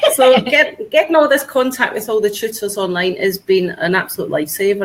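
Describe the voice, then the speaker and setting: A woman with a Scottish accent speaks at a fairly quick pace with hardly any pauses, her fairly high voice carrying lively intonation over noticeable background noise. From Scotland. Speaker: online tutor. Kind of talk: video call interview. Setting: video call. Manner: chatty, enthusiastic.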